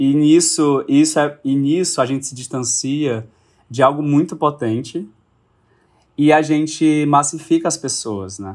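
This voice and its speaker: Speaking in a plain, everyday voice at a fairly slow pace, with ordinary pitch variation. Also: man, fairly high pitch for a man, very clean recording, silent background. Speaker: actor and director. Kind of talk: casual chat.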